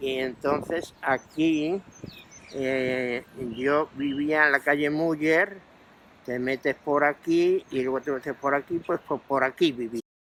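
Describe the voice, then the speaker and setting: A man with a fairly high pitch and fairly even intonation at a very slow pace, in a dry, close sound with no echo. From Madrid, Spain. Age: 80s+. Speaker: oral history interviewee. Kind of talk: interview testimony. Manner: halting.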